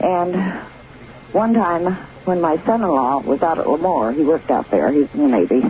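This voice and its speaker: Through noticeable background noise, a woman with a fairly low pitch speaks with very wide pitch swings and very even loudness. She leaves long, frequent pauses. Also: moderate pace. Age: 60s. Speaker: caller. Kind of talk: phone-in testimony. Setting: phone call.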